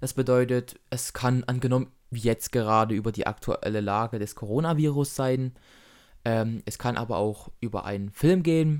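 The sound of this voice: On a very clean recording with a silent background, a man speaks at medium pitch with ordinary pitch variation and a clear, smooth, slightly mellow tone. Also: moderate pace.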